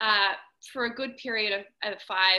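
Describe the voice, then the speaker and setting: Her pitch is medium and her intonation fairly even as the woman speaks. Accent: Australian. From Australia. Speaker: dancer and dance educator. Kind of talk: interview.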